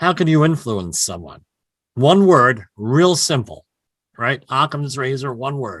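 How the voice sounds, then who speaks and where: A man with a New Jersey accent talks at a fairly high pitch. His pitch swings very widely, and the background is quiet. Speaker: health and safety consultant. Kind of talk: podcast interview.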